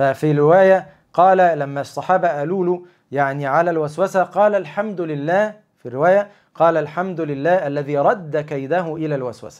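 Speech at a moderate pace with ordinary pitch variation over a quiet background. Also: man, fairly high pitch for a man. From Egypt. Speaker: Islamic lecturer. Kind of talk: religious talk on a livestream. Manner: conversational, animated. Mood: calm, reassuring. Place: home room. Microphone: lapel.

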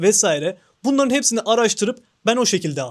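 The recording is very clean, with a silent background. A man speaks fairly quickly in an animated tone. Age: 20s. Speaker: YouTuber. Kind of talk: vlog monologue.

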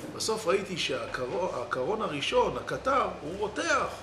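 Noticeable background noise runs behind a man's speech. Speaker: religious teacher. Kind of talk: sermon. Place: church.

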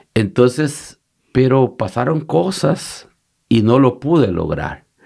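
Lively intonation carries a dark, mellow tone. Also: man. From El Salvador, Usulután. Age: 50s. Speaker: pastor. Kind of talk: interview conversation.

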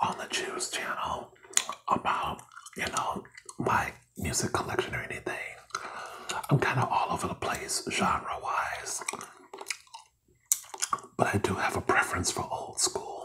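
A soft-spoken, whispering man at a fairly slow pace, with long, frequent pauses and light background noise. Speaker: channel host. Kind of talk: casual vlog chat. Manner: soft close whisper to camera. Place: home room. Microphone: phone near.

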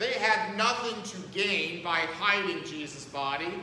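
A man projects a raised voice at a fairly slow pace, with ordinary pitch variation. Audible room echo and light background noise surround him. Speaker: pastor. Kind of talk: sermon. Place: church. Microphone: camera far.

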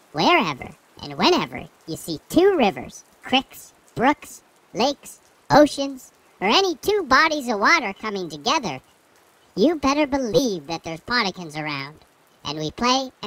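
A put-on character voice, fairly high, with very wide pitch swings and long, frequent pauses. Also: moderate pace. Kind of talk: comic character voice for kids' audio drama. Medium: audio drama. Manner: gruff, impatient, cheeky.

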